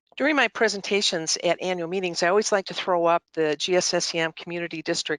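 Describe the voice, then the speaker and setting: A woman with an American accent at a fairly quick pace and a fairly low pitch, her tone bright and sharp, the sound dry and close with no echo over a quiet background. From Michigan, US Midwest. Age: 60s. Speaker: nonprofit chief executive. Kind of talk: annual meeting presentation. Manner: halting, many fillers.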